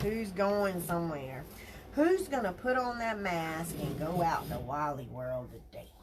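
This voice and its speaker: Through audible room echo and noticeable background noise, a woman with an American accent speaks at a fairly slow pace in a fairly low pitch, with very wide pitch swings. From South Carolina. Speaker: crafter livestreamer. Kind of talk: live craft tutorial with chat. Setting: livestream. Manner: animated.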